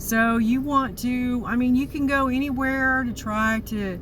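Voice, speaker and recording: A woman is talking. Room echo can be heard. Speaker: YouTuber. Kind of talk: casual vlog monologue. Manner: rambling, halting with many fillers.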